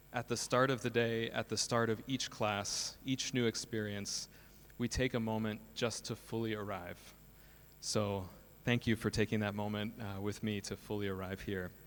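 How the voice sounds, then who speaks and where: Here a man speaks with an American accent at a medium pitch. His intonation is monotone and flat. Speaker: school principal and co-founder. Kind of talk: conference talk. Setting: stage with audience.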